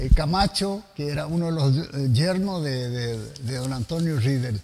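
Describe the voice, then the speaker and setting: A man at a fairly high pitch, with lively intonation and a very slow pace, over noticeable background noise. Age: old. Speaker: TV host. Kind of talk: casual chat.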